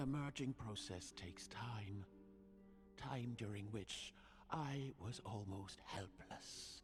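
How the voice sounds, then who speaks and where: With clear music in the background, a put-on character voice speaks very slowly in a low-pitched, solemn tone. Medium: video game. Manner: formal, measured, solemn.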